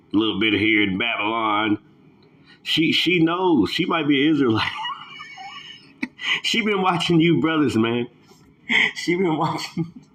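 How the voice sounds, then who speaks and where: With noticeable background noise behind him, a man swings very widely in pitch and leaves long, frequent pauses. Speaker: bible prophecy channel host. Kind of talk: casual commentary. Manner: halting.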